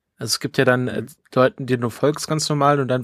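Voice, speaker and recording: The recording is dry and close with no echo, carrying a man's medium-pitched voice. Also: very clean recording, silent background. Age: 30s. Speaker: podcast host. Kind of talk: casual chat.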